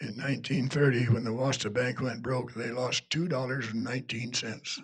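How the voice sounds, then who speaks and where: Noticeable background noise behind a man talking at a moderate tempo, his voice medium in pitch and his intonation fairly even. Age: 90s. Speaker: local historian. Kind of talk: public history talk. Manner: halting.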